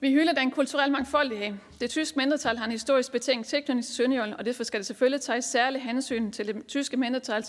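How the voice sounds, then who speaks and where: In a very clean recording with a silent background, a woman with a Southern Jutland accent speaks very fast at a high pitch. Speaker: local councillor and party group leader. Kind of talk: conference speech. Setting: conference hall with audience.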